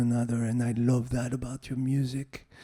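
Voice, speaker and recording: A man talks at a moderate pace in a dark, mellow tone and a monotone, flat intonation. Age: 60s. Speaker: music professor. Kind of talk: panel feedback to a student. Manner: hesitant, many fillers.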